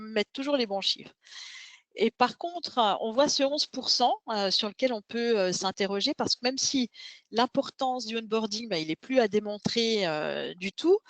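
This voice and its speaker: Speaking with a Swiss accent, a woman uses a fairly high pitch and ordinary pitch variation at a moderate pace. The sound is dry and close with no echo. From Switzerland. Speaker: tech company founder. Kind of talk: webinar presentation.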